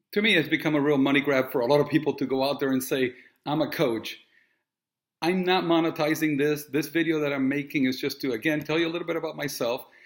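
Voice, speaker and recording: A very fast, fairly high-pitched male voice with fairly even intonation, recorded very cleanly over a silent background. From Puerto Rico and Miami. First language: Spanish. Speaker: real estate agent and coach. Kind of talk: direct-to-camera monologue. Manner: casual, with frequent fillers.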